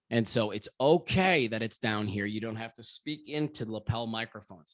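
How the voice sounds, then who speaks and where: Recorded very cleanly with a silent background and a dry, close sound with no echo, a man talks at a moderate pace with ordinary pitch variation. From California, San Diego area. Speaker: media trainer. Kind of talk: training workshop. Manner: loud.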